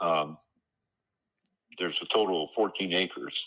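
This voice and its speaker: The tone is bright and sharp. The pace runs fairly quick. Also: man. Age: 70s. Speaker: property seller. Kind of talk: phone call negotiation.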